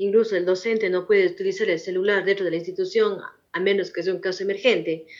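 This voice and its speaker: A woman's medium-pitched voice, an ordinary speaking voice, with fairly even intonation. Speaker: schoolteacher. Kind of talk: interview.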